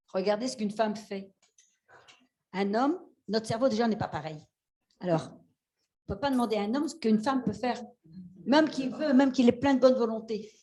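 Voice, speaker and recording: Amid audible room echo, a woman with a fairly high pitch and ordinary pitch variation talks at a very fast pace broken by long, frequent pauses. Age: 60s. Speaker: fisherwoman and seaweed farmer. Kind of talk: panel discussion. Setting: stage with audience. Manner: animated.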